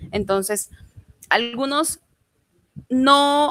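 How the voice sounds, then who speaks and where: This is a woman's voice. It shows ordinary pitch variation. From Mexico, Juchitán, Oaxaca. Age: 20s. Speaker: language student. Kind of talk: interview.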